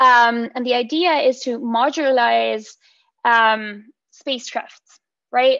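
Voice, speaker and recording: A woman's high-pitched voice carries fairly even intonation. The background is quiet, and the sound is dry with no echo. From Mexico. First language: Spanish. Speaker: PhD researcher; presenter. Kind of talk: seminar talk. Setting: video call. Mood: playful, friendly. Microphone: video call.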